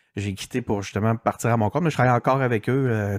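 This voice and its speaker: Recorded with a dry, close sound and no echo against a silent background, this very clean clip moves at a fairly quick pace. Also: man. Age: 40s. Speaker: digital strategist and podcaster. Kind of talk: interview. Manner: halting, many fillers.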